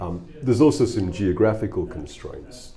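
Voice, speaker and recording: A man in a British accent at a moderate pace. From England. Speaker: musician with a corporate job. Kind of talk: interview.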